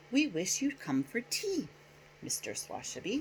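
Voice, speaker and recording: A put-on character voice at a high pitch moves along at a moderate pace. Background noise is clearly audible. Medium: read story.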